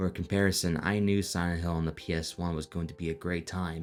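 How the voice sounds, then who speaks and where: With music in the background, a man speaks in a very deep, low voice with fairly even intonation. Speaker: video essayist. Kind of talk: video essay narration.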